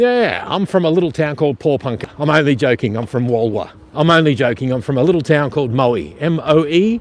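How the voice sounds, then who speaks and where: A man with an Australian accent and fairly high pitch, his intonation lively, talking at a fairly quick pace with hardly any pauses. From Australia (rural Victoria). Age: 50s. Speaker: vlogger. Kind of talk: casual live-stream commentary while riding. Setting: outdoors on an e-bike by the coast.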